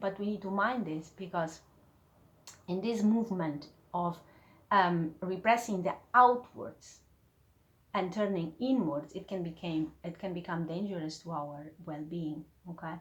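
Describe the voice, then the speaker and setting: A woman talks at a fairly slow pace in a fairly low, somewhat breathy voice with ordinary pitch variation and long, frequent pauses. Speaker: spiritual teacher, YouTuber. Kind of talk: video lesson. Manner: hesitant, many fillers.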